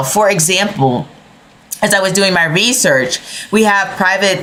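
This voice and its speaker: A woman speaks with ordinary pitch variation, audible room echo and noticeable background noise. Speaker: tarot and astrology reader. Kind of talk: astrology forecast monologue. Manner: hesitant, with fillers.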